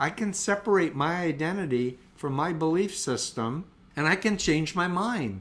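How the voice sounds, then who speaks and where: A man with an American accent, high pitch, lively intonation and a moderate pace. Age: 60s. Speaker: cult expert and mental health counselor. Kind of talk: interview.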